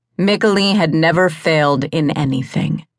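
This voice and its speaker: A woman's very deep, low voice in an intense, dramatic tone at a fairly slow pace. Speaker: audiobook narrator. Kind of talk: dramatic audiobook narration of fantasy romance. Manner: intense, somber and gripping, with emotional intensity rising at moments of grief.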